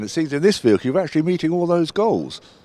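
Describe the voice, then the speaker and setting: Talking at a very fast pace, a man uses lively intonation in a dark, mellow tone, and the sound is dry with no echo. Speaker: defence journalist. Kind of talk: trade show interview. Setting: exhibition stand at trade show. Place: street. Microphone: handheld.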